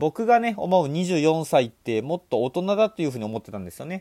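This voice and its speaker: A man speaks with a dark, mellow tone and very wide pitch swings in a dry, close sound with no echo. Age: 20s. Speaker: podcast host and part-time lecturer. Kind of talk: solo podcast monologue. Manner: casual, conversational.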